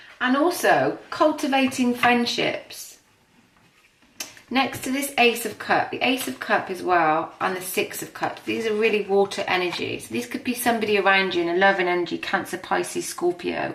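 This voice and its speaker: Over noticeable background noise, a woman speaks at a moderate pace and medium pitch, her pitch swinging very widely. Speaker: tarot and astrology reader. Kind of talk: tarot reading.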